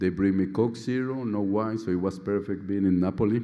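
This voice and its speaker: Speaking with a Colombian accent, a man uses a fairly low pitch and ordinary pitch variation. Audible room echo surrounds his voice. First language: Spanish. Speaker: surgeon, outgoing society president. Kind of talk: conference speech. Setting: stage with audience.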